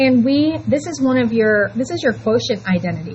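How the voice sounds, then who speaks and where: Against noticeable background noise and audible room echo, a woman talks with very wide pitch swings. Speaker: high school math teacher. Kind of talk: classroom lecture. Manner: halting, stumbling over words; casual, chatty.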